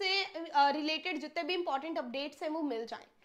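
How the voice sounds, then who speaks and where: This woman speaks in a raised, projected voice with an animated tone that is bright and sharp. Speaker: English teacher. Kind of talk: online lecture. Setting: live stream.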